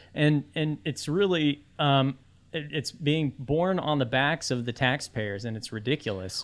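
A man's fairly high voice at a fairly slow pace, with ordinary pitch variation and an unremarkable speaking voice. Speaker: political blogger. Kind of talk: casual chat.

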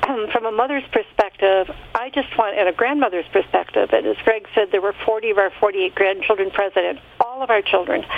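A woman speaks at a fairly quick pace in a fairly high pitch, with ordinary pitch variation and very even loudness. Noticeable background noise sits behind her. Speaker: caller. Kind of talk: casual chat sharing testimony. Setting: phone call.

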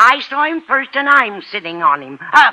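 A woman performs a put-on character voice with a bright, sharp tone. Her pitch is fairly high, it swings widely, and the pace is moderate.

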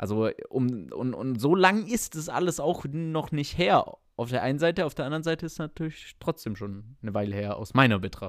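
Over a silent background in a very clean recording, a man with a fairly high voice talks at a moderate pace with very wide pitch swings and hardly any pauses. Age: 20s. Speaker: podcast guest, volunteer organization member. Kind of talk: casual chat.

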